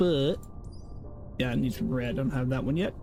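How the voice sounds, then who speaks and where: With music in the background and audible room echo, a man talks at a very fast pace in a medium pitch with ordinary variation. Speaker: game streamer. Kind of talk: live gameplay commentary. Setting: live stream.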